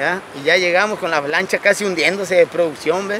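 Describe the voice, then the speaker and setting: Over noticeable background noise, a man with a high pitch speaks at a moderate pace. His voice is raised and projected. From Mexico, San Blas, Nayarit. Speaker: fisherman. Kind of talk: interview. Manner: animated.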